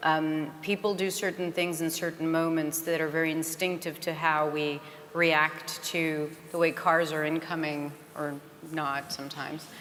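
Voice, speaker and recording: Over noticeable background noise, a woman talks at a moderate pace in a very deep, low voice with monotone, flat intonation. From France, Paris. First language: French. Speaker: conference panelist. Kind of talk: panel Q&A answer.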